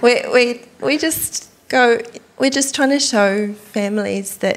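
A woman's speech shows ordinary pitch variation, with noticeable noise in the background. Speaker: church community group leader. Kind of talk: casual panel chat.

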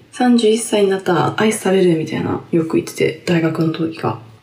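A woman talks at a fairly quick pace in a fairly low pitch with an animated tone. Noticeable background noise and audible room echo surround her voice. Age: 30s. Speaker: podcast host. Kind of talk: casual solo talk. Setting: bathroom changing room. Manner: animated, laughing often. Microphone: echoey room sound.

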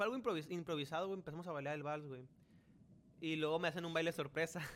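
A man's high-pitched voice at a very fast pace, broken by long, frequent pauses. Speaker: podcast host. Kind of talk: casual chat.

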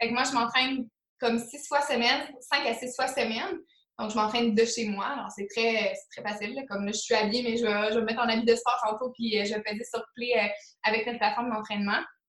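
Her pitch fairly high, a woman speaks at a fairly quick pace with fairly even intonation. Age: 20s. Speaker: motivation coach in network marketing. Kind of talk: casual interview. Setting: call.

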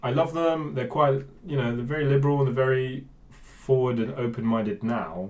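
A man with a Bristol accent, medium in pitch, with lively intonation. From England, Bristol area. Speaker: DJ and music producer. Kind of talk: casual interview chat. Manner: hesitant, many fillers.

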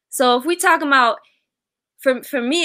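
Using a raised, projected voice, a woman speaks with high pitch, an American accent and a bright, sharp tone. Her delivery is animated with lively intonation, and the recording is very clean with a silent background. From Baltimore County, Maryland. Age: 30s. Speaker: teacher and content creator. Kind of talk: casual chat.

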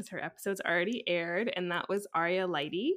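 A woman with a Canadian accent has an ordinary speaking voice at a medium pitch. She speaks at a moderate pace with ordinary pitch variation on a very clean recording with a silent background. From Canada, Vancouver. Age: 20s. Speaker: podcast host, marketing mentor. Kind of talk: casual interview chat.

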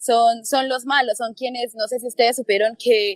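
This woman's pitch is fairly high. She talks at a moderate pace. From Colombia, Popayán (Cauca). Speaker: university student and activist. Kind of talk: interview about current protests.

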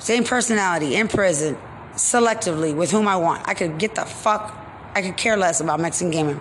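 Over noticeable background noise, a woman with an American accent and medium pitch speaks in an animated tone at a fairly quick pace, with lively intonation and long, frequent pauses. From Texas. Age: 40s. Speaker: podcaster. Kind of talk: monologue rant.

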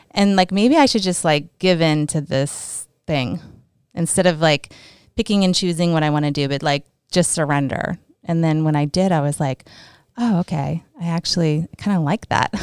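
Someone with an American accent speaks at a moderate pace, with ordinary pitch variation. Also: woman, fairly low pitch for a woman. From southern California, Orange County. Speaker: gym member services manager. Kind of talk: casual interview chat.

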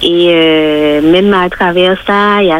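Speaking at a medium pitch, a woman comes through over noticeable background noise. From Martinique. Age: 40s. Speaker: church member. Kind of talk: testimony.

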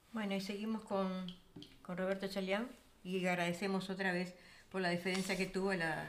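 A woman's voice sits at a medium pitch. She talks fairly quickly. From Uruguay. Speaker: radio show host. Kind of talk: radio music program hosting.

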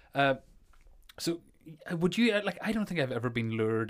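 A man speaks with a Northern Irish accent at a fairly quick pace. His pitch swings very widely. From Northern Ireland. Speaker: podcast host. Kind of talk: casual chat.

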